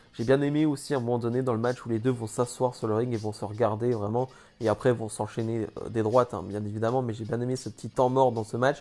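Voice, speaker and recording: Talking at a very fast pace, a man holds a medium pitch in a monotone, flat intonation. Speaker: wrestling commentator YouTuber. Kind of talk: casual video review. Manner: halting.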